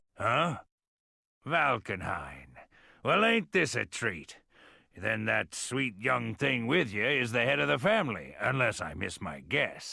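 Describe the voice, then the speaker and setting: A man's raspy, drawling put-on character voice in a very clean recording with a silent background. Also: medium pitch for a man, fairly slow pace. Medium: video game. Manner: folksy drawl, easygoing.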